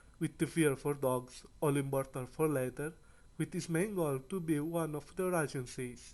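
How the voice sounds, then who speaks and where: A man talks at a moderate pace with a non-native accent. His pitch is fairly high, with ordinary variation. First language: not English. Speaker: anime YouTuber. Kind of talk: video review commentary.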